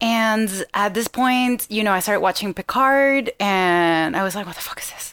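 Speaking in a Venezuelan accent, a woman uses a medium pitch at a moderate pace with hardly any pauses. Her loudness swings widely. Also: ordinary pitch variation. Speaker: comedian, actress and podcaster. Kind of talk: casual chat on live call-in show.

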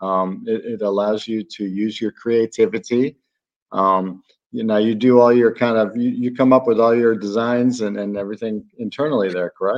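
A man with an American accent and an unremarkable speaking voice talks at a moderate pace, medium in pitch with fairly even intonation. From Chicago, US Midwest. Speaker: podcast host. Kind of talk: interview.

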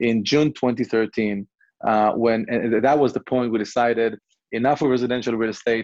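With an Israeli accent, a man speaks at medium pitch and a moderate pace. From southern Israel. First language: Hebrew. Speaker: real estate investment CEO. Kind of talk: interview. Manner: hesitant, many fillers.

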